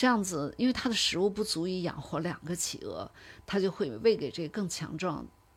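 A woman with a plain, everyday voice, medium pitch, lively intonation and a moderate pace, on a very clean recording with a silent background. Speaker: polar expedition travel manager and former research scientist. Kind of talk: interview.

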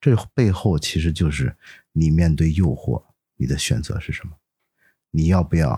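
A man's very deep, low pitch, somewhat breathy, with a dark, mellow tone, ordinary pitch variation and a fairly slow pace, in a dry, close sound with no echo on a very clean recording with a silent background. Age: 40s. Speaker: photographer and entrepreneur. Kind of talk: casual interview chat.

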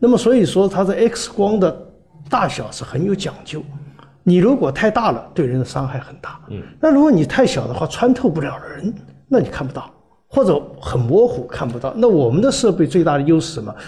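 A high-pitched man at a fairly quick pace, with very wide pitch swings and noticeable background noise. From Guangzhou, China. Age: 60s. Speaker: hardware entrepreneur, engineer. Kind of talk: casual interview.

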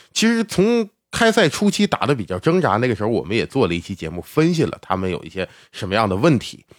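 At a very fast pace with very wide pitch swings, a man speaks on a very clean recording with a silent background and a dry, close sound with no echo. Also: medium pitch for a man. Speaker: sports podcast host. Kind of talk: casual monologue about basketball.

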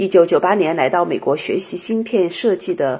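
Here is an ordinary speaking voice from a woman at a moderate pace. Her intonation is lively. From China. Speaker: podcast host. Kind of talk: scripted narration; interview. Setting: startup incubator in Shanghai.

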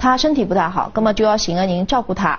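A woman of medium pitch speaks very fast with a Shanghainese accent. Her intonation is lively over noticeable background noise. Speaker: victim's family member. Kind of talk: interview.

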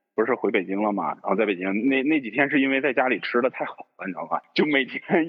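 With a normal speaking voice, a man talks at a fairly quick pace and with lively intonation. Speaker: podcast co-host. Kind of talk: casual chat.

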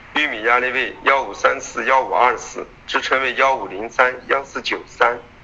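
A man talks at a moderate pace. There is noticeable background noise behind him. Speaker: futures market analyst. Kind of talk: market commentary. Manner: many filler particles.

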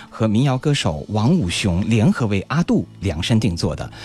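With very wide swings in pitch, a man talks over background music. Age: 30s. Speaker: radio host. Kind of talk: radio music show presenting.

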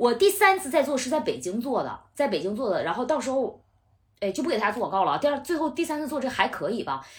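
Loud and very fast, a woman with a high pitch makes very wide pitch swings. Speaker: TV host and debate show debater. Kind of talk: casual chat. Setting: at the host's home.

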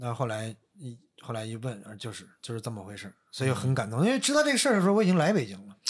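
Talking at a very fast pace, a man uses lively intonation and big swings in loudness. His voice is somewhat breathy at a medium pitch. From Northeast China. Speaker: podcast guest telling personal stories. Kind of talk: casual chat.

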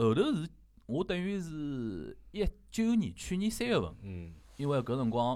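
With a Shanghai accent, a man speaks at a fairly high pitch in a dark, mellow tone, his pitch swinging very widely, at a fairly slow pace with long, frequent pauses. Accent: Shanghainese (Wu) speaker. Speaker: podcast host. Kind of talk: casual chat.

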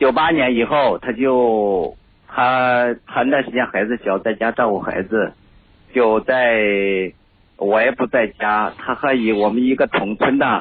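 A man at a medium pitch, very slow pace, and fairly even intonation. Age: 40s. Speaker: caller. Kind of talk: call-in discussion of marriage problems. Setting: phone call.

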